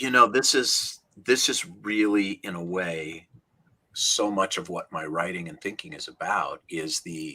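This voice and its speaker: A man with an American accent speaks at a fairly slow pace in a normal speaking voice, his fairly low pitch paired with big swings in loudness. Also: lively intonation. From Minnesota. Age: 60s. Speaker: rabbi and author. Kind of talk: interview conversation. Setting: video call.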